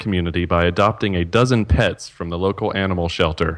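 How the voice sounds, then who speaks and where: A man speaks at a fairly quick pace, with noticeable background noise throughout. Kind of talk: game show host reading trivia clues. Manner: animated, laughing, scorekeeping.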